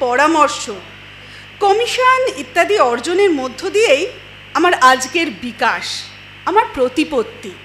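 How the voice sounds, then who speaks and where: Noticeable background noise runs under speech whose pitch swings very widely. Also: woman. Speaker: poetry reciter. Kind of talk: poetry reading.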